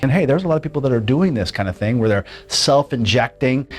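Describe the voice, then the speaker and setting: A man at a medium pitch, talking very fast over background music. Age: 60s. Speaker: patient giving a testimonial. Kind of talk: testimony. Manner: casual, with many fillers.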